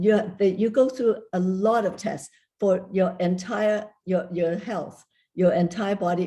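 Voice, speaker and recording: At a fairly slow pace, a woman talks in a dark, mellow tone with fairly even intonation. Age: 80s+. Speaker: kidney donor. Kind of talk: panel discussion.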